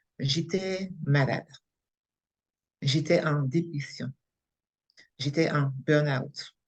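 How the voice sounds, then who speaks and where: This woman's somewhat breathy voice sits at a very deep, low pitch, moving at a very slow pace with long, frequent pauses and fairly even intonation. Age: 60s. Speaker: coaching trainee, unemployed after burnout. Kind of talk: testimony interview. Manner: halting.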